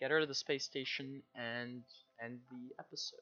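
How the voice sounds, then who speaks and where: A man talks quietly at a moderate pace and medium pitch. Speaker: gaming streamer. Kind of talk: live gameplay commentary. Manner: casual.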